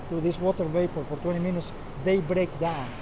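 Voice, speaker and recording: At a moderate pace, a man speaks with a high pitch while noticeable background noise runs underneath. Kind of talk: interview answer. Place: factory. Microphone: lapel.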